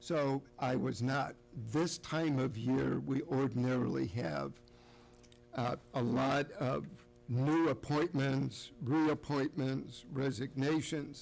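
Faint music plays behind a man speaking at a very slow pace. His intonation is fairly even. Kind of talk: formal meeting remarks. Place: hall. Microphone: podium.

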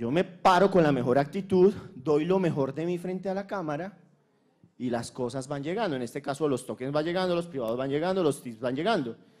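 A man at a fairly high pitch and fairly quick pace, with ordinary pitch variation and a quiet background. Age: 50s. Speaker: conference speaker. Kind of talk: conference talk. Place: hall. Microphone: handheld.

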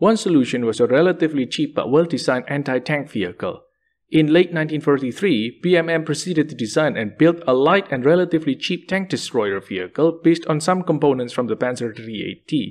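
Over a quiet background, a man with an unremarkable speaking voice talks at a fairly quick pace with a fairly high pitch, lively intonation and hardly any pauses. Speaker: history video narrator. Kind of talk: scripted narration.

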